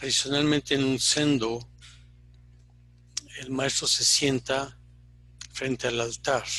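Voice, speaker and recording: A man talks at a very slow pace with medium pitch and a monotone, flat intonation. Long pauses come often. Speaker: Zen teacher. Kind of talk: dharma talk. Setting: online retreat. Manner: reflective, halting.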